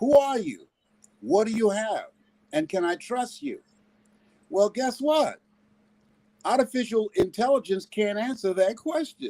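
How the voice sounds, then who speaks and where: A man with an extremely high pitch and a dark, mellow tone speaks at a fairly slow pace, with long, frequent pauses. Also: lively intonation. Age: 70s. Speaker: motivational speaker. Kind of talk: motivational talk. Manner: animated.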